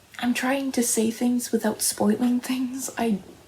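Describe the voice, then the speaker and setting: A woman whispers. She is soft-spoken. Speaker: aspiring novelist. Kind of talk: ASMR soft-spoken rambling. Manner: soft-spoken, whispered.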